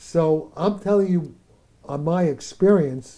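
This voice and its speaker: A man's fairly high, dark and mellow voice with lively intonation and an American accent. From New York City. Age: 80s+. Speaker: theoretical physicist. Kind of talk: interview.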